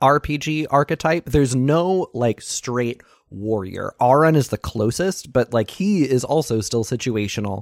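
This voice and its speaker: A man's plain, everyday voice, fairly high in pitch, with lively intonation at a moderate pace, dry and close with no echo, on a very clean recording with a silent background. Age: 30s. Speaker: podcast host, guest. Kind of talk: casual chat.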